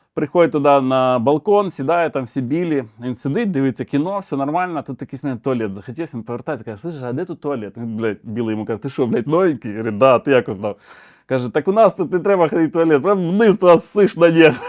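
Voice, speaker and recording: Fairly high in pitch, a man speaks at a fairly quick pace with lively intonation. His voice sounds dry and close, without echo. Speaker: comedian. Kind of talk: stand-up joke telling. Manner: animated, casual storytelling with crude swearing and voice impersonations.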